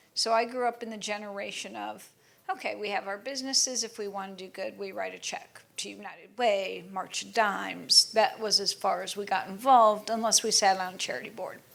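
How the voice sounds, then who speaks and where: A woman at a fairly quick pace, with hardly any pauses. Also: big swings in loudness. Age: middle-aged. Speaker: panel moderator. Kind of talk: panel discussion.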